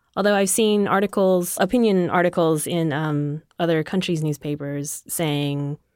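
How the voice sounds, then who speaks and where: On a very clean recording with a silent background, a woman has a plain, everyday voice, a fairly low pitch, fairly even intonation and a moderate pace. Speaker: science news editor. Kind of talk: casual chat. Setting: studio.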